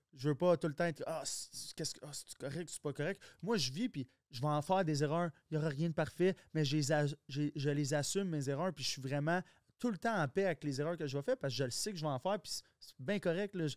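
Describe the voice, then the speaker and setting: Speaking at a fairly quick pace with ordinary pitch variation and a strong Quebec accent, the voice comes through dry, with no echo, over a quiet background. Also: man, fairly high pitch for a man. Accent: strong Québécois. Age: 30s. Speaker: entrepreneur; podcast guest. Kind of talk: casual chat. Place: studio. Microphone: studio mic.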